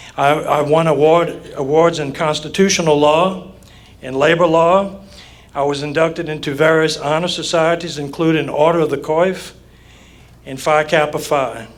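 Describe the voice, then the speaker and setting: A man talks with a Southern Louisiana accent at a moderate pace. His fairly high voice stays monotone and flat. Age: 60s. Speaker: judicial candidate, lawyer. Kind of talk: campaign speech at candidate forum. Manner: formal.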